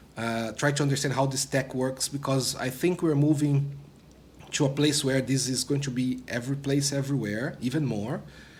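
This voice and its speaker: Somewhat breathy and fairly high in pitch, a man talks at a moderate pace in a monotone, flat way, with audible room echo. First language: not English. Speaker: product manager, former developer relations. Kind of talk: interview. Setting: conference studio.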